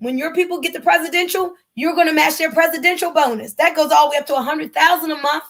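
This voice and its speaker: Extremely high-pitched, very fast speech from a woman in an animated tone, with hardly any pauses. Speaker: network marketing presenter. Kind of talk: sales pitch.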